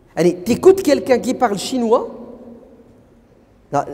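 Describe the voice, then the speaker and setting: An animated man talks at a moderate pace in an extremely high pitch, with very wide pitch swings. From France. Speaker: preacher. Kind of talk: lecture.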